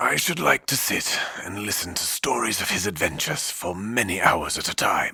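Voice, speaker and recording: Putting on a character voice, a man speaks at a moderate pace with a fairly low pitch and lively intonation. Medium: read story.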